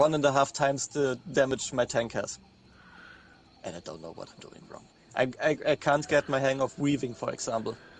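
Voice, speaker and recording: Using vocal fry, a man talks at a fairly high pitch and moderate pace, with ordinary pitch variation and big swings in loudness. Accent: German. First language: German. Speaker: podcast guest, gamer. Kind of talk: casual chat. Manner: halting.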